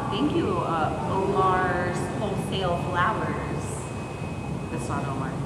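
Loud background noise and audible room echo fill the recording. The pace is very slow, with long, frequent pauses. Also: woman. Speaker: streamer. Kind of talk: casual chat. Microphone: phone near.

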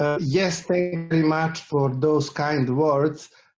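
A man is speaking. Music plays in the background. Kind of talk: panel discussion answer. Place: home room.

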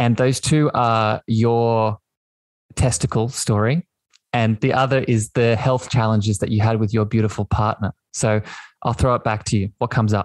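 This man talks at a moderate pace with an Australian accent, his loudness very even and his intonation fairly even. The sound is dry and close, with no echo. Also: medium pitch for a man. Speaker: podcast host. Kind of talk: casual interview chat. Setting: video call / online audio room.

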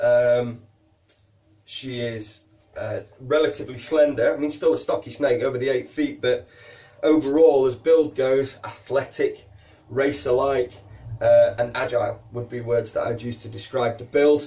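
This man has a Yorkshire accent. He speaks at a fairly slow pace. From Yorkshire, northern England. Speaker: reptile keeper and educational video host. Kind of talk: educational tutorial to camera. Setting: recording to camera while handling a snake. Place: shop.

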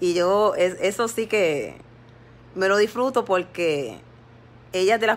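A woman's medium-pitched voice at a fairly slow pace, with ordinary pitch variation. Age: 50s. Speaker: lay preacher on social media live. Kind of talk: devotional exhortation livestream. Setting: Facebook live stream. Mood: earnest, somewhat aggrieved. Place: home room. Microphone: phone near.

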